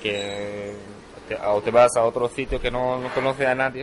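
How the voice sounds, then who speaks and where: Noticeable background noise behind a man at a medium pitch, talking at a fairly slow pace with fairly even intonation. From Syria, Hama. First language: Arabic (speaking Spanish). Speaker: immigrant shop worker. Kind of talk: recorded interview. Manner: hesitant, non-native phrasing.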